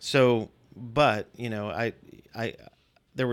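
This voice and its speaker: A man with an American accent has a normal speaking voice, medium in pitch with fairly even intonation. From Virginia. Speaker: pastor. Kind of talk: testimony.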